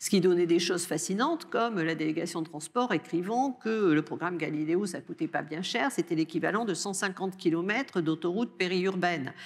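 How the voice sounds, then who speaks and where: The voice carries a Bordeaux accent with ordinary pitch variation. It moves at a fairly quick pace with hardly any pauses. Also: woman, fairly low pitch for a woman. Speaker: research director and lecturer on space policy. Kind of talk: answering questions after a lecture. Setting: lecture hall with audience. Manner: hesitant, with many fillers.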